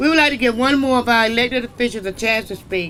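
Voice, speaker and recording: A man speaks in a raised, projected voice at an extremely high pitch, with noticeable background noise behind him. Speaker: event moderator. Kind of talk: event moderation.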